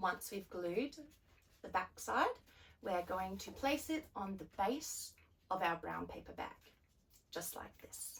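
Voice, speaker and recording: Upbeat and somewhat breathy, the voice moves at a very slow pace with long, frequent pauses, very wide pitch swings and big swings in loudness. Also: woman, medium pitch for a woman. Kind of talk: children's craft tutorial. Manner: upbeat, friendly.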